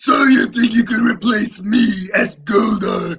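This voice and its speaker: A man uses a put-on character voice pitched high. His pace is fairly slow. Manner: menacing.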